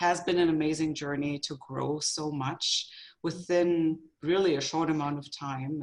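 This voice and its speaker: A German accent at a moderate pace. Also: woman. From Germany. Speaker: photographer, business owner. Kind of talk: interview. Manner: halting.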